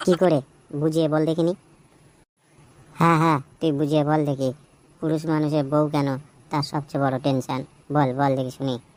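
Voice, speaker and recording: A put-on character voice rumbles along at a moderate pace. Its intonation stays monotone and flat. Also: man, fairly high pitch for a man. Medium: cartoon. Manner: grumbling, short-tempered, swears often.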